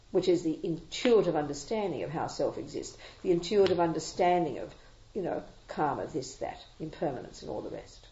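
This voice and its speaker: Speaking at a fairly quick pace with an Australian accent, the voice shows big swings in loudness, and audible room echo surrounds it. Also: woman. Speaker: Buddhist nun and teacher. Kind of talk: dharma talk with Q&A. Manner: fast; animated.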